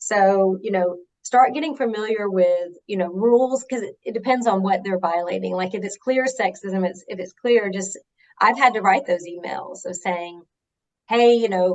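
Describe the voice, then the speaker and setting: A woman with a Southern US accent, at a medium pitch and a moderate pace, with ordinary pitch variation and big swings in loudness. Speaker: HR executive. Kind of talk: interview.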